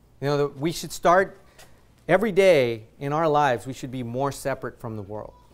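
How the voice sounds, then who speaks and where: A man with a fairly high voice talks at a fairly quick pace, his intonation lively and his loudness swinging widely. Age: 30s. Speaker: visiting pastor. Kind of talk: sermon. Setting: church. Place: church.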